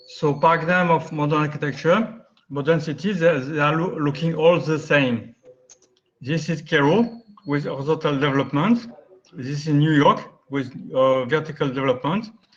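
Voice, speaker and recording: There is audible room echo as a man with a French accent speaks at a fairly high pitch with ordinary pitch variation. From France. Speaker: architect. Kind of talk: lecture. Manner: fast.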